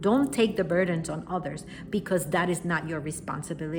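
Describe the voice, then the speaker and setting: With a strong Puerto Rican accent, a woman speaks at a fairly low pitch with ordinary pitch variation and a somewhat breathy quality. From Puerto Rico. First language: Spanish. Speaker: spiritual wellness teacher. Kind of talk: talk to camera, teaching. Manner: unscripted, with fillers and self-corrections.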